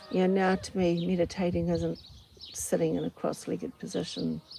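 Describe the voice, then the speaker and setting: A woman in a New Zealand accent with a calm tone, at a moderate pace, amid noticeable background noise. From New Zealand, Auckland. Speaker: podcaster. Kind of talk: casual monologue. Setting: outdoors on farm doorstep.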